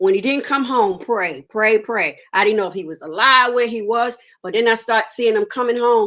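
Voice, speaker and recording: A woman speaks with a fairly high pitch and lively intonation. Her tone is bright and sharp. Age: 60s. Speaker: guest sharing life story. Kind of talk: testimony.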